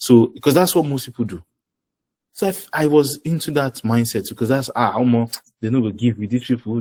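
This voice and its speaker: A man talks at a fairly quick pace. He has a Nigerian accent. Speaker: finance professional and presenter. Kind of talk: webinar talk. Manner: animated.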